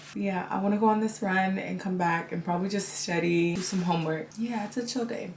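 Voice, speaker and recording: A woman at a medium pitch, fairly quick with hardly any pauses, fairly even intonation, over noticeable background noise. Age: 20s. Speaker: lifestyle vlogger. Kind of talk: casual vlog talk to camera. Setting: at home.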